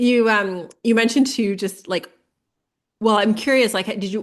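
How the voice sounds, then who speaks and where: This is an unremarkable speaking voice with a Canadian accent. Its pitch variation is ordinary. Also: woman. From Ontario, Canada. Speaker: podcast host. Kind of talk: casual interview.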